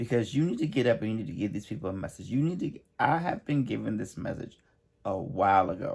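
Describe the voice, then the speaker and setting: Speaking at a very fast pace, a man with a medium pitch and a somewhat breathy voice sounds animated, his pitch swinging very widely. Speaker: emotional healing coach. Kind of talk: motivational talk.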